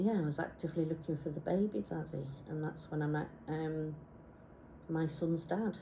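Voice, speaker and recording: In a very deep, low pitch, a woman speaks at a fairly slow pace, her dark, mellow tone somewhat breathy. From Isle of Man, Yorkshire and Wales. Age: 50s. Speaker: graphic designer. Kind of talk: personal presentation. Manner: halting.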